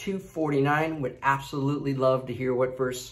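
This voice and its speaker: A male speaker, intonation mostly level. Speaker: devotional video host. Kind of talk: devotional reading and prayer. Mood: calm, reverent. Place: home room. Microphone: phone near.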